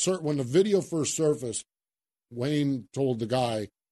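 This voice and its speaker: This man has a fairly high pitch, a dark, mellow tone and lively intonation, and he speaks at a moderate pace. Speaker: podcast host. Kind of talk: casual chat. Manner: animated.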